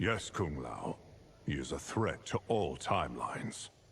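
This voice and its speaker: A man's put-on character voice, very deep and low in pitch, with a weary tone at a moderate pace. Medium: video game. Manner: grave, weary.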